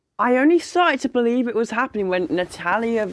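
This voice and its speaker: In a British accent, the speaker delivers the lines in an animated tone. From UK. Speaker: wrestling reviewer, YouTuber. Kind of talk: casual video review.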